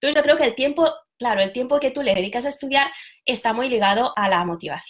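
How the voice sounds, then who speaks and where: Her pitch is high. This woman speaks with lively intonation. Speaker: language teacher. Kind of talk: live stream talk. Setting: live video stream.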